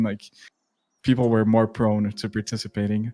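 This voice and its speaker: The speaker talks at a moderate pace in a Portuguese accent, with a dry, close sound and no echo. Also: man. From Brazil. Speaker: YouTuber, gaming content creator. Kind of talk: casual interview.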